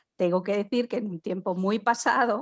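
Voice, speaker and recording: A woman with fairly even intonation on a very clean recording with a silent background. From Spain. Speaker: podcast co-host. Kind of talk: casual chat.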